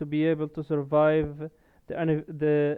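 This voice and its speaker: Speech comes at a fairly slow pace. A non-native accent is present. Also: man. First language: not English. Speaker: gaming content creator. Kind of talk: video essay monologue. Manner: halting, frequent fillers and restarts.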